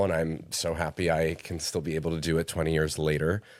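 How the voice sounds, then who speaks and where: The speaker is a man with a New Jersey accent, talking at a moderate pace. The recording is very clean, with a silent background. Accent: American, New Jersey. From New Jersey, US. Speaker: actor, singer and writer. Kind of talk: casual interview.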